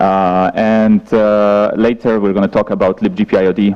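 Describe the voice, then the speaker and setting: Through noticeable background noise, a man's fairly low-pitched voice is heard. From Poland. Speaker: software engineer, conference speaker. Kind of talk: conference talk. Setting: stage with audience. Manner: halting, many fillers.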